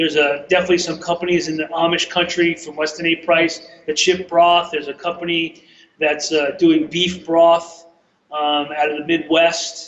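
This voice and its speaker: With a slight New York accent, a man speaks at a moderate pace in a high, flat, monotone voice. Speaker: chef and broth company owner. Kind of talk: interview.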